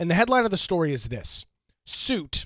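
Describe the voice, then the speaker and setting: The sound is dry and close, with no echo. A man speaks at a high pitch, his voice swinging very widely up and down. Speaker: radio talk show host. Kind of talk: talk radio monologue. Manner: hesitant, many fillers.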